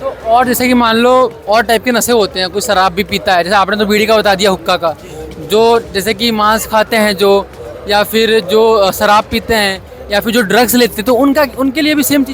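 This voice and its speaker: A high-pitched male voice at a moderate pace, fairly even intonation, crowd noise behind it. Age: young. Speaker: news reporter. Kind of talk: interview.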